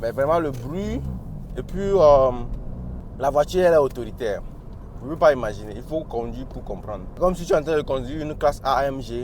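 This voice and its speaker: Animated and fairly quick, a man speaks with big swings in loudness and long, frequent pauses. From Africa. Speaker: car reviewer. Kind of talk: casual car review while driving. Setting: in a car.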